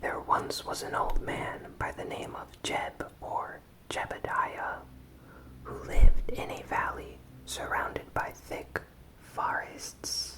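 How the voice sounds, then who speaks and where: Whispering at a very slow pace, with noticeable background noise. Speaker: ASMR content creator. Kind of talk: ASMR horror story reading. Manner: whispered, soft-spoken.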